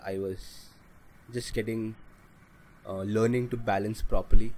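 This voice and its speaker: A man speaks at a moderate pace in a fairly low voice with a dark, mellow tone. His intonation is monotone and flat, broken by long, frequent pauses. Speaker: learner motorcyclist. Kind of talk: vlog voice-over narration. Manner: flat, lifeless.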